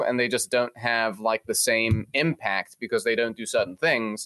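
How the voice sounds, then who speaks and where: The sound is dry and close, with no echo. Pitch variation is ordinary and the pace moderate. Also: man. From England. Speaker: mortgage broker. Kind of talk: casual interview. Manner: animated.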